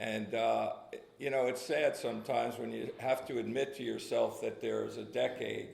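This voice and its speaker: Speaking at a moderate pace with a New Jersey accent, a man is heard with audible room echo. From New Jersey (Red Bank). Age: 60s. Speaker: recovering alcoholic speaker. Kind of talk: testimony. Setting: meeting with audience. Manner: halting, many fillers.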